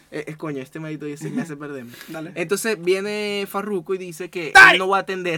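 A man with a Venezuelan accent speaks in a high voice at a very fast pace with hardly any pauses and big swings in loudness, against noticeable background noise. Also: ordinary pitch variation. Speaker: podcast co-host and producer. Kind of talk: casual chat.

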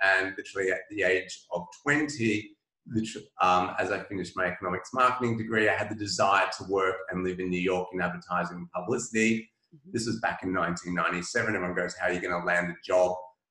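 The voice carries an Australian accent at a fairly quick pace. Its pitch variation is ordinary. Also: man, very deep, low pitch for a man. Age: 40s. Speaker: publicist and author. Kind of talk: interview conversation.

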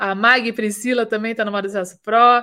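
A woman's fairly high voice comes through on a very clean recording against a silent background. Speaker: fashion business consultant and podcast host. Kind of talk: live stream Q&A and business teaching. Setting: live stream.

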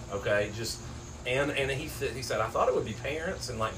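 A man talks at a fairly quick pace with an Appalachian accent. The room echo is audible, and background noise is noticeable. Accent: Appalachian Kentucky. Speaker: sports podcast co-host. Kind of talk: casual chat.

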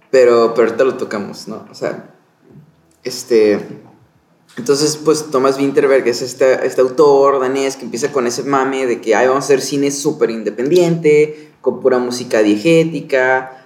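In a normal speaking voice, a man with a medium pitch talks at a moderate pace with fairly even intonation. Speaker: podcast co-host, film crew worker. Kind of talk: casual film discussion chat. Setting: hotel room.

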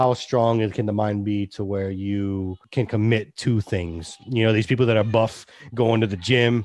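A man with an ordinary speaking voice and ordinary pitch variation talks over a quiet background. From Texas, Austin. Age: 30s. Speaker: podcast co-host. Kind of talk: casual chat. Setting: video call.

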